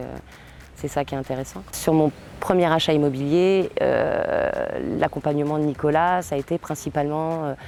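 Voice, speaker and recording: Noticeable background noise surrounds a woman's voice. Her pitch is very deep and low, with ordinary variation. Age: 30s. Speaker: client testimonial, machinist. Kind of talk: testimony. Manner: halting, many hesitations.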